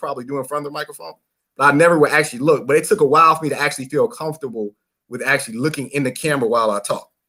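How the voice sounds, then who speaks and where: A man's bright, sharp, fairly high voice at a very fast pace, in a Mississippi accent. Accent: Mississippi country. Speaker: radio host. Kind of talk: casual chat.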